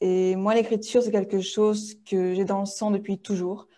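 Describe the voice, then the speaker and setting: Over a quiet background, a woman of medium pitch speaks slowly in a dark, mellow tone with flat, monotone intonation. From Tahiti, French Polynesia. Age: 20s. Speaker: children's book author. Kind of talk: interview. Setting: video call.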